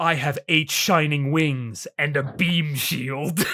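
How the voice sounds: A put-on character voice, breathy and low-to-middle in pitch. It moves at a very slow pace.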